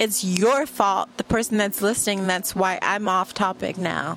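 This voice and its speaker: Woman at a fairly slow pace, fairly even intonation, over noticeable background noise. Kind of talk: angry rant. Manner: fired-up, sneering and defiant, spitting out short punchy insults and swearing; loud, emphatic, repeating words for effect.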